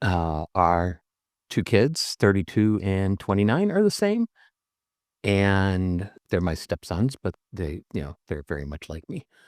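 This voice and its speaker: At a very slow pace, a man with a very deep, low pitch speaks with ordinary pitch variation and big swings in loudness, in a dry, close sound with no echo. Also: very clean recording, silent background. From Iowa, US Midwest. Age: 60s. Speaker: guest in recovery. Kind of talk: casual group chat.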